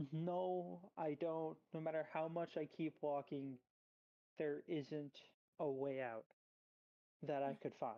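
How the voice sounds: In a shaky, put-on character voice at a low-to-middle pitch, the speaker goes at a fairly slow pace with long, frequent pauses.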